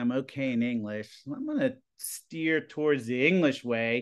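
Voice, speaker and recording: Over a quiet background, a man in a normal speaking voice talks at a fairly slow pace and a medium pitch. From Plum, Pennsylvania (Pittsburgh area). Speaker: high school TV production teacher. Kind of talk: casual interview.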